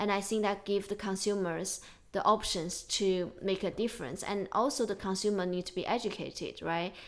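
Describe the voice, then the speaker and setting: Speaking with a Chinese accent, a woman keeps a medium pitch, a moderate pace and fairly even intonation. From China. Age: 30s. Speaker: podcast host. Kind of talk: casual chat. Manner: emotional.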